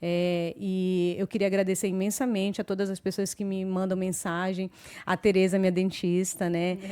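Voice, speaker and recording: At a moderate pace, a woman talks in a monotone, flat delivery at medium pitch with a dark, mellow tone. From Brazil, Belém do Pará. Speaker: podcast host. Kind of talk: casual chat. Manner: hesitant fillers.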